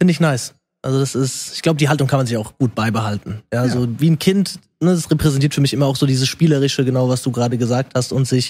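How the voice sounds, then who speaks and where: Somewhat breathy and at medium pitch, a man races along at a very fast pace with ordinary pitch variation in a very clean recording against a silent background. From Germany, rural area. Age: 20s. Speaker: social media creator and personal trainer. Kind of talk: casual chat.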